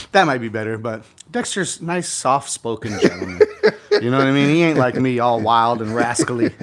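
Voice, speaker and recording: Over noticeable background noise, a man speaks at a fairly quick pace. His pitch is medium, with ordinary pitch variation. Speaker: real estate investor and event host. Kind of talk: casual chat. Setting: home garage gym, livestream. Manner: loud; animated.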